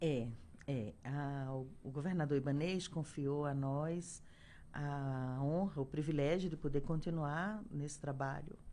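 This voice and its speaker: Speaking very slowly in a strong Pernambuco accent, this voice has a dark, mellow tone and ordinary pitch variation. Audible room echo surrounds it. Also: woman, very deep, low pitch for a woman. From Brazil, Pernambuco (Caruaru). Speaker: health official. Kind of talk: radio interview. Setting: radio studio. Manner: hesitant, many fillers. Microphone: too far from microphone at start.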